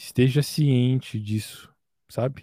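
The man's voice carries a dark, mellow tone. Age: 20s. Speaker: music producer.

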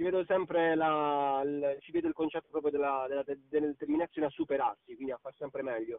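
Speaking at a fairly quick pace with ordinary pitch variation, a man uses a plain, everyday voice pitched fairly high. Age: young. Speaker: singer. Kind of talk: interview. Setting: recorded call.

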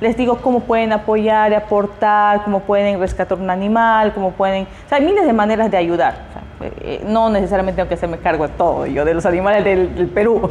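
The speaker moves at a fairly quick pace with fairly even intonation. Noticeable background noise sits behind the voice. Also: woman, medium pitch for a woman. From Peruvian Amazon, Iquitos. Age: 30s. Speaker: preschool teacher and activist. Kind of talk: interview.

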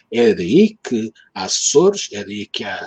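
This voice has a Lisbon accent and a dark, mellow tone. It is somewhat breathy, with very wide pitch swings. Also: man, dry, close sound with no echo. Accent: European Portuguese, Lisbon. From Lisbon, Portugal. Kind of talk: casual chat.

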